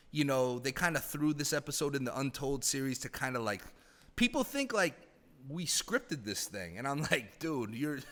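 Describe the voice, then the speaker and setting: A man's animated voice, fairly high in pitch, with lively intonation at a moderate pace. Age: 30s. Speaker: former hockey team president. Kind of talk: casual podcast interview.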